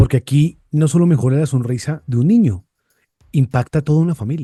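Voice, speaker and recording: A man speaks at a fairly quick pace with a fairly high pitch and lively intonation, his tone dark and mellow and somewhat breathy. The sound is dry and close, with no echo. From Bogotá, Colombia. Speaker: podcast host. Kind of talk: interview conversation.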